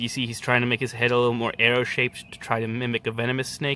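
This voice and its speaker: A man speaks very fast in a bright, sharp tone. The sound is dry, with no echo. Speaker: nature video host. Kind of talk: casual nature commentary. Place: garden. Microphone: phone near.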